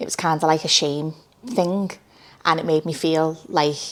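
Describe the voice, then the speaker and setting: With a Liverpool accent, a woman speaks at a fairly low pitch with fairly even intonation. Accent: Scouse. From Liverpool, England. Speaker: social media creator. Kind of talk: interview. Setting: studio. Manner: loud.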